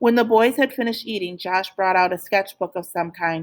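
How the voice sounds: Pitch variation is ordinary in this natural reading voice.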